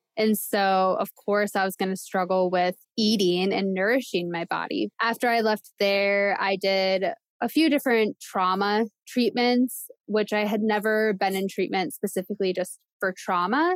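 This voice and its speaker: A woman with an unremarkable speaking voice talks at a moderate pace in a medium pitch, with fairly even intonation and very even loudness. The sound is dry and close, with no echo. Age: 20s. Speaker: abuse survivor and social work student. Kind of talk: interview testimony.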